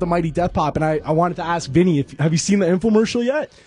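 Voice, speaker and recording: A man with a Canadian accent and a high pitch races along at a very fast pace with lively intonation over noticeable background noise. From Canada. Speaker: radio co-host. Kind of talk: casual radio interview. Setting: radio studio.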